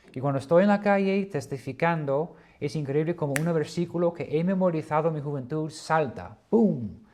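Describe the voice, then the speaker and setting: Hardly any pauses break up this man's speech. His pitch is fairly high, with ordinary variation. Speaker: Bible teacher. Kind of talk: lecture. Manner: slow; hesitant.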